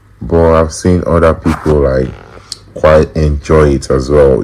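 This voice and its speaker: With noticeable background noise behind him, a man speaks very slowly in a very deep, low pitch and fairly even intonation. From Nigeria. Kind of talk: interview answer. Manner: casual, hesitant.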